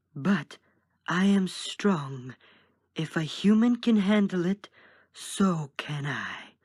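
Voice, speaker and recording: A put-on character voice at a middle pitch speaks at a very slow pace with long, frequent pauses. The recording is very clean, with a silent background. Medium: read story. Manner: intense.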